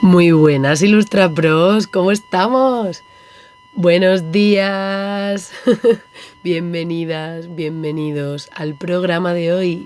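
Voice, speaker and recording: A woman's fairly low voice at a very slow pace, with ordinary pitch variation over noticeable background noise. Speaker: illustration podcast host. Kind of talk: podcast monologue. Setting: on a boat. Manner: animated.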